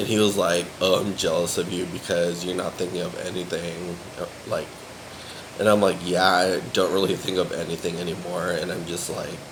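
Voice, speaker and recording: A man with a very deep, low pitch speaks at a moderate pace in a monotone, flat intonation. Noticeable background noise and audible room echo fill the recording. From USA. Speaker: vlogger. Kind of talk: casual vlog monologue. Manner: filler-heavy, rambling speech.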